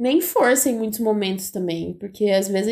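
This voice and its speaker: A woman's fairly high-pitched, normal speaking voice with ordinary pitch variation, on a very clean recording with a silent background. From Brazil, interior of São Paulo state (Bauru). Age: 20s. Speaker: podcast co-host, biology student. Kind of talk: casual chat. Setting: recording in person together.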